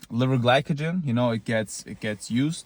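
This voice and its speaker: Over a very clean recording with a silent background, a man speaks at a medium pitch with ordinary pitch variation and a non-native accent. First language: not English. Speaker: looksmaxing vlogger. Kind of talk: casual monologue. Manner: halting, with repeated false starts; casual, blunt.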